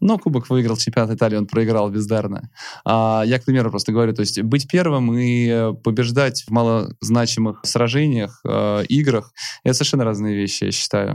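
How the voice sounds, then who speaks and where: An unremarkable speaking voice from a man at medium pitch, moderate pace, fairly even intonation and very even loudness, on a very clean recording with a silent background. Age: 30s. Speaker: entrepreneur and podcast host. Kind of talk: interview.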